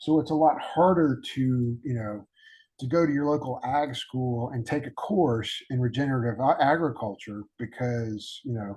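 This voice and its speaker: Speaking in a Southern US accent, a man talks at a fairly slow pace and medium pitch, somewhat breathy, with ordinary pitch variation and a quiet background. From Alabama, US South. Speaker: podcast host. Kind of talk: casual interview chat. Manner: halting, many fillers.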